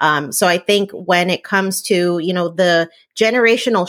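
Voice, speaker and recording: Speaking at a fairly slow pace with fairly even intonation, a woman has a fairly low pitch, captured in a very clean recording against a silent background. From New Jersey, Puerto Rican family. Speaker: entrepreneur and food blogger. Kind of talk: interview.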